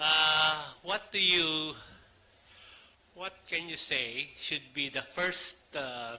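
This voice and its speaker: Over noticeable background noise, a man speaks at a very slow pace with long, frequent pauses. His fairly high voice shows ordinary pitch variation. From Philippines. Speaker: press freedom advocate, audience questioner. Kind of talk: audience question at conference.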